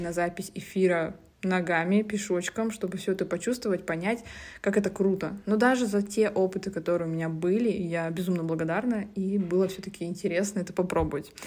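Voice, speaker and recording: At a moderate pace and with fairly even intonation, a woman talks in a medium pitch on a very clean recording with a silent background. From Russia, Zabaykalsky Krai (Siberia). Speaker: podcaster, reality TV show winner. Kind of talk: casual monologue. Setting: shared apartment room.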